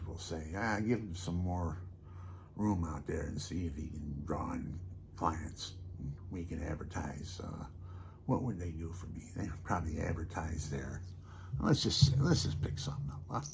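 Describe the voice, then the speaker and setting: Some audible room echo surrounds a man's very deep, low, somewhat breathy voice, which moves at a moderate pace with ordinary pitch variation. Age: 70s. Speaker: storyteller and musician vlogger. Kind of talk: casual monologue to camera. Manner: soft-spoken; rambling, conversational.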